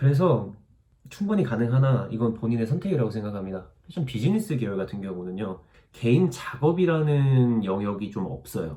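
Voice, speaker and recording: With very wide pitch swings, a man's medium-pitched, somewhat breathy voice carries a dark, mellow tone. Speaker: YouTuber, fashion student abroad. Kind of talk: Q&A vlog answering viewer comments. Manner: fast; casual, conversational.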